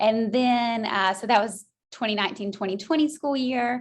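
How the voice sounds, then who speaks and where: The voice carries a slight Southern US accent and ordinary pitch variation. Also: woman. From US South, Georgia. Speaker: school counselor. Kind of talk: interview.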